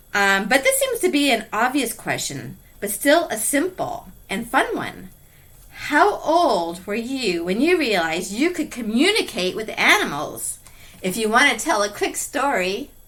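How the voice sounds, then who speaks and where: The voice is loud, with a bright, sharp tone and very wide pitch swings. It moves along at a fairly slow pace. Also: woman, high pitch for a woman. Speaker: podcast host. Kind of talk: interview. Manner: soft-spoken.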